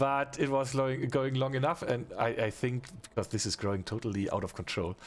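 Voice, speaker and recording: Speaking at a fairly quick pace with a non-native accent, a man uses a medium pitch and ordinary pitch variation. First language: not English. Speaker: gaming streamer. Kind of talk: live game stream chat. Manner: halting.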